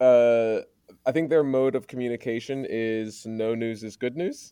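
A man speaks at a fairly slow pace, his medium pitch carrying ordinary variation. His tone is dark and mellow, with a quiet background behind him. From Maryland, US. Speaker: school principal. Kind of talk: interview. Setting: home recording under a duvet. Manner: halting, many fillers and restarts. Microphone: good sound.

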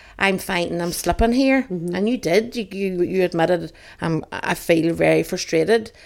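A woman at a moderate pace with ordinary pitch variation, on a very clean recording with a silent background. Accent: Northern Irish. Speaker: podcast co-host. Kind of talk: casual chat. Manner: giggly.

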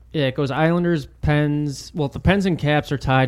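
A man's plain, everyday voice at a moderate pace with fairly even intonation, very cleanly recorded over a silent background. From Texas, born there but moved at age two. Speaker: sports podcast co-host. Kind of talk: casual chat.

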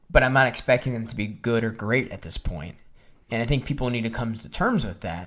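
A man with an ordinary speaking voice talks at a fairly quick pace, with ordinary pitch variation and big swings in loudness. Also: medium pitch for a man. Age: 30s. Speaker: wrestling podcast host. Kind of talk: casual chat.

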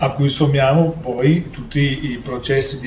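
A man with a fairly high pitch, fairly even intonation and fairly slow pace, amid noticeable background noise and audible room echo. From Italy. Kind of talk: lecture-style talk. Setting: live stream.

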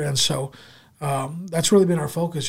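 This man's voice is somewhat breathy. He talks with an American accent. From Southern California (San Diego area). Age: 30s. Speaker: store owner. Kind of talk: casual interview.

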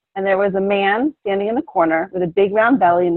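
A woman speaks with an American accent at a medium pitch and moderate pace, using ordinary pitch variation. Hers is an unremarkable speaking voice. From US Northeast, Philadelphia. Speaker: bodywork practitioner. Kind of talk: interview.

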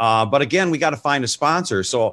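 A man with an American accent talks at a fairly quick pace in a bright, sharp tone with vocal fry. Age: 60s. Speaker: music TV show host. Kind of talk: casual interview chat. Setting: video call.

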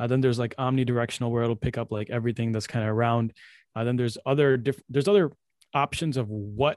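A man speaks in a plain, everyday voice with a medium pitch and fairly even intonation, the sound dry and close with no echo. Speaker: podcast host. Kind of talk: casual chat. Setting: video call. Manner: casual.

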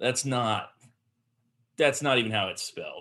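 A man talks with a Southern US accent. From US South. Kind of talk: casual chat.

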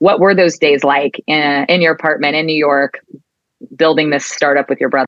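The woman's voice sits at a very deep, low pitch. She speaks at a moderate pace with ordinary pitch variation. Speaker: advertising creative executive. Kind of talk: casual interview. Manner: hesitant, repeats words.

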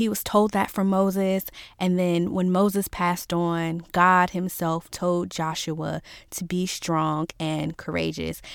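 The delivery is very slow and monotone, with flat intonation and an American accent. The recording is very clean, with a silent background. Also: woman, fairly low pitch for a woman. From Virginia, US South. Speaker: faith podcast host. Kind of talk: inspirational solo podcast talk. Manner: casual, conversational.

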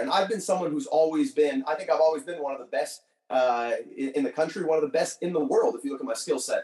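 A man with a fairly high voice talks at a fairly quick pace, animated in tone and lively in intonation. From Quebec, Canada (LaSalle, Montreal area). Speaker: professional wrestler. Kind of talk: podcast interview.

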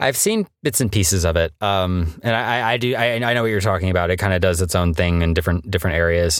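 A man speaks at a very fast pace with hardly any pauses, his very deep, low voice holding a very even loudness and ordinary pitch variation on a very clean recording with a silent background. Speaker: voice actor. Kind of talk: interview. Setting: home recording booth.

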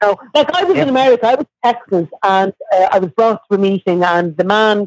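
A medium-pitched woman with an Irish accent, moderate pace, ordinary pitch variation and a dry, close sound with no echo. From Ireland, Dublin. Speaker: guest in recovery. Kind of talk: testimony.

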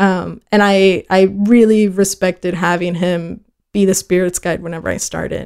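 Moderate pace with monotone, flat intonation. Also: woman, medium pitch for a woman. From Texas (born El Paso, raised Fort Worth). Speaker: DJ and agave spirits brand educator. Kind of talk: casual chat. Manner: halting, many fillers.

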